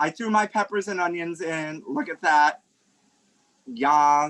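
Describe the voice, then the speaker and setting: A man with a New York accent speaks at a very slow pace with long, frequent pauses and ordinary pitch variation. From Brooklyn, New York. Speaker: food blogger and culinary emcee. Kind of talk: casual cooking instruction on a podcast. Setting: video call. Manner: campy, lively.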